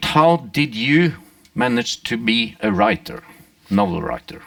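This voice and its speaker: The speaker has a Norwegian accent and talks at a fairly slow pace. The intonation is lively. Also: man, medium pitch for a man. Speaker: interviewer. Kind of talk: interview on stage. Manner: halting.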